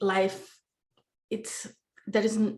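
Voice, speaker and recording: Speaking with a Brazilian Portuguese accent, a woman goes at a very slow pace in a somewhat breathy voice of medium pitch with ordinary pitch variation. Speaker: podcast guest. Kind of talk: casual interview chat. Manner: halting.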